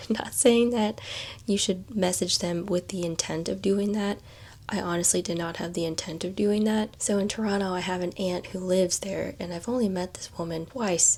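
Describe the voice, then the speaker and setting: At a moderate pace, a woman delivers her words in a whisper. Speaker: lifestyle vlogger. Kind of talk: casual vlog talk. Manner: whispering.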